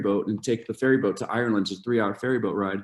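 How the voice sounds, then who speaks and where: Speaking very fast, a man keeps his medium-pitched voice at a fairly even intonation. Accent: American. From Ohio, US. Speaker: university study abroad advisor. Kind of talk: informational presentation. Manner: halting, many fillers and repeats.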